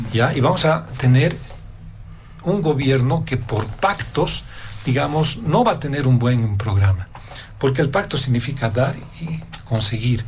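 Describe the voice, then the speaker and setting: A man with a medium-pitched voice talks at a fairly slow pace with lively intonation, long and frequent pauses, and audible room echo. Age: 60s. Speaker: political analyst. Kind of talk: political panel debate.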